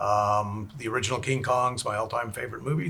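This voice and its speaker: A man with a Texan accent speaks at a very fast pace in a bright, sharp tone. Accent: Texan American English. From Texas, Houston. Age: 60s. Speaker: special effects makeup artist. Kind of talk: interview chat.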